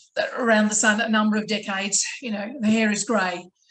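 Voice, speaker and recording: A fairly high-pitched, somewhat breathy woman's voice with an Australian accent at a moderate pace. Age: 60s. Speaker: motivational speaker. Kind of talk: panel discussion.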